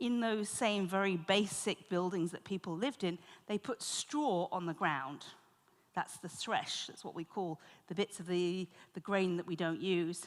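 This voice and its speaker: A woman talks with a British accent. Her pace is fairly slow. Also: medium pitch for a woman, ordinary pitch variation. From Britain. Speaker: conference moderator. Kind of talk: conference moderation.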